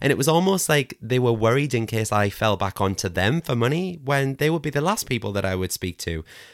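Speaking at a fairly quick pace with a Geordie accent, a man at medium pitch swings his pitch very widely, and the sound is dry and close with no echo. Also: very clean recording, silent background. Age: 30s. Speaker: crystal shop owner, former NHS worker. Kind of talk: casual interview chat.

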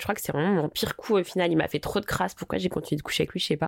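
A woman with an ordinary speaking voice talks at a fairly low pitch with ordinary pitch variation. The sound is dry and close with no echo, on a very clean recording with a silent background. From Paris, France. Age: 20s. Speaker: social media personality. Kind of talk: candid personal storytelling interview. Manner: casual, slangy.

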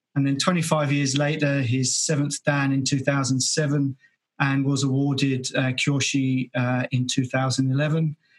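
Very slow, somewhat breathy speech in an English accent. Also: man. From England. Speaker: podcast host. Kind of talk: casual interview. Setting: video call.

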